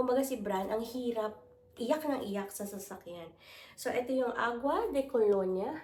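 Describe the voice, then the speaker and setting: A woman with a fairly high voice talks at a fairly slow pace, with noticeable background noise and audible room echo. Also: ordinary pitch variation. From Philippines. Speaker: lifestyle vlogger. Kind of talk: haul unboxing vlog.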